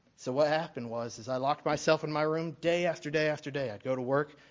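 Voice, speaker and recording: A man talks with an American accent. His pitch varies in an ordinary way. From Alabama, US South. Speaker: church worship leader, new deacon. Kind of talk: testimony. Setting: church. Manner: halting.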